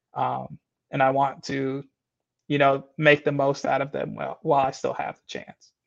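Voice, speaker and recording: In a normal speaking voice, a man with a fairly high pitch talks over a quiet background, the sound dry and close with no echo. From Michigan. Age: 20s. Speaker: CrossFit athlete. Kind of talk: casual interview.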